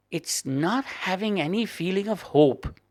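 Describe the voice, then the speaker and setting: A man speaks very slowly in a Cork accent. The recording is very clean, with a silent background. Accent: Irish (Cork). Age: 70s. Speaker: guest sharing health story. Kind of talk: interview.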